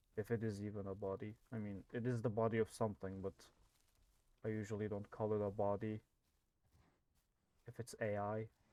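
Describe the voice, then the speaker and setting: A soft-spoken man with a fairly low pitch and dark, mellow tone, flat monotone intonation, a fairly quick pace and long, frequent pauses. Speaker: gaming youtuber. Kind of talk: gameplay commentary.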